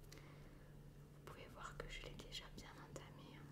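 A woman's voice over loud background noise. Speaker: ASMR creator. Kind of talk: casual talk to camera. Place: home room.

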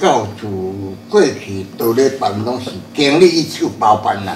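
Here a man talks at a fairly slow pace. The room echo is audible, with light background noise. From Taiwan, Chiayi area (Shuishang); Taiwan. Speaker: religious elder; interviewee. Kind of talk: interview; interview answer. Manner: halting.

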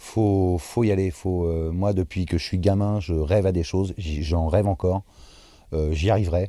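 A man speaks at a fairly slow pace in a very deep, low voice with a dark, mellow tone and ordinary pitch variation. The sound is dry with no echo, over a quiet background. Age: 30s. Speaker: actor and dubbing artist; actor. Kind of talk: interview. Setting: bar-restaurant. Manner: hesitant, frequent fillers and repetitions. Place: hall. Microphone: lapel.

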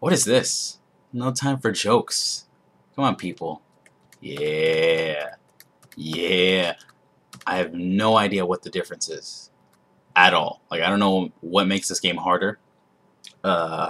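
A man speaks in a very deep, low pitch with a bright, sharp tone and ordinary pitch variation. His pace is very slow, with long, frequent pauses. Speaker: gamer. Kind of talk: casual gameplay commentary. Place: home room.

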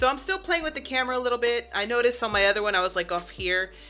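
A woman speaks while faint music plays in the background. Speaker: gaming streamer. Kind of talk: casual vlog chat. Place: home room. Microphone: headset.

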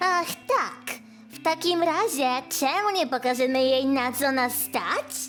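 Over clear background music, a woman does a cartoonish character voice at a high pitch and a fairly slow pace. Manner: cocky, swaggering.

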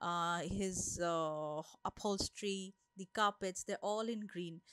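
The voice shows ordinary pitch variation, with a dry sound with no echo and a quiet background. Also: woman. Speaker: vlogger narrating exhibits. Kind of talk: casual vlog commentary. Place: hall. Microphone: phone near.

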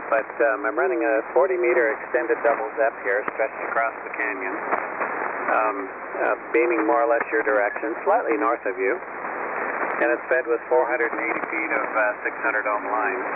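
A man at a moderate pace amid loud background noise, the sound dry with no echo. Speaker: amateur radio operator. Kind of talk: casual chat. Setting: amateur radio transmission. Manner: relaxed, good-humored. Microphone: two way radio.

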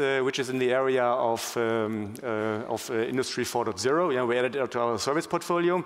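Over clear background noise, a man talks at a fairly quick pace with a medium pitch and ordinary pitch variation.

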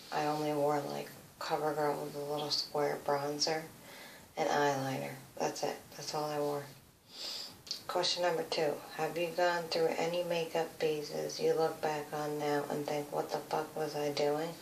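A woman with an American accent speaks in a very deep, low pitch and a monotone, flat intonation, amid light background noise and audible room echo. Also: moderate pace. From USA. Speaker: beauty vlogger. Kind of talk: casual chat. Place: home room. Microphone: phone near.

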